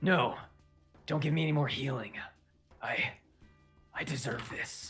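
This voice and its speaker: In a put-on character voice, a raspy whisper moves at a moderate pace over faint music in the background. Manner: whispering.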